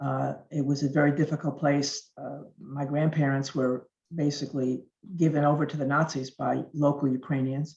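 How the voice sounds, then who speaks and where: A woman speaks with a very deep, low pitch. Her intonation is monotone and flat, and her pace is moderate. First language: Yiddish and Russian. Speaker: speaker. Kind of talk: speech.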